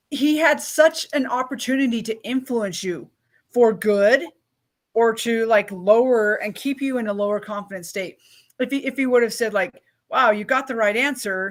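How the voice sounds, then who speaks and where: In a very clean recording with a silent background, a woman talks at a moderate pace in a high voice with ordinary pitch variation. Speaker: podcast host. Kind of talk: interview host talk.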